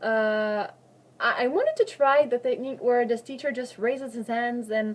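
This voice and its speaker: A woman speaks in a high voice with ordinary variation in pitch. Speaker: student teacher. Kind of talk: oral exam answers. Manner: halting, many fillers and self-corrections.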